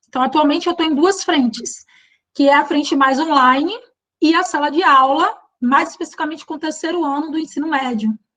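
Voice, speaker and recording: Speaking at a fairly quick pace, a woman with a Bahian accent uses a high pitch, ordinary pitch variation and a bright, sharp tone. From Bahia, Brazil. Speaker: teacher. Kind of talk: online workshop. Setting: live online stream.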